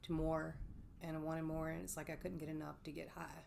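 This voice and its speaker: A woman with a Mississippi accent, very deep and low in pitch, at a fairly quick pace. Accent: Southern US (Mississippi). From US South, Oxford, Mississippi. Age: 40s. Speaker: person in addiction recovery. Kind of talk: interview testimony. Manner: hesitant, many fillers.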